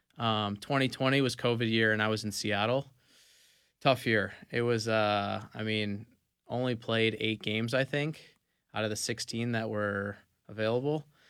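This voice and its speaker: On a very clean recording with a silent background, a man uses a normal speaking voice at medium pitch, with fairly even intonation and a moderate pace. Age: 20s. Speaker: professional soccer player. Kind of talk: casual interview. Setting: radio studio.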